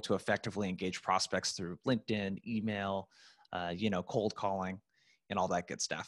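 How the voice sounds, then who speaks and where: A man speaks at a fairly quick pace in an ordinary speaking voice, fairly low in pitch, with fairly even intonation. The sound is dry and close with no echo, on a very clean recording over a silent background. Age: 30s. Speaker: sales prospecting coach. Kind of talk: casual interview.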